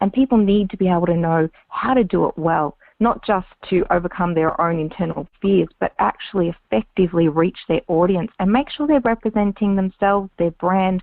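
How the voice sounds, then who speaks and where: A woman speaks with an Australian accent at medium pitch. Her pace is moderate and her pitch variation ordinary. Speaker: public speaking and on-camera coach. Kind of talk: interview.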